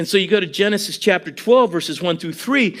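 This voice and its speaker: The man speaks in an animated tone. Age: 60s. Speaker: preacher. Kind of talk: sermon.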